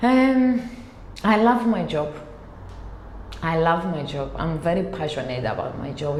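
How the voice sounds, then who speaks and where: Fairly low-pitched female speech at a fairly slow pace, with audible room echo and noticeable background noise. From Cyprus. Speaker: compliance executive. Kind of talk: interview. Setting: office. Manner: hesitant.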